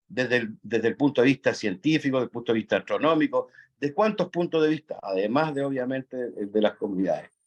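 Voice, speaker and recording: Against a quiet background with a dry, close sound and no echo, a man speaks very fast at a fairly high pitch. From Chile, Atacama region. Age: 60s. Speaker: national park concessionaire, audience participant. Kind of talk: audience comment in online forum. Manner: halting, many fillers.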